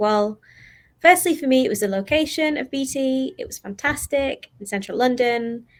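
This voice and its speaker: A woman speaks at a moderate pace with a Mancunian accent. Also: very clean recording, silent background. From Manchester, northern England. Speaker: HR graduate employee. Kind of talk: panel talk.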